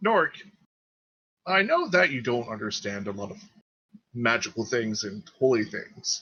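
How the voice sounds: Putting on a character voice, a man speaks fairly slowly at a medium pitch, his bright, sharp tone carrying a slightly husky edge and lively intonation.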